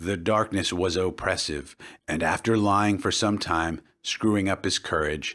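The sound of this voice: A reading voice, unforced and easy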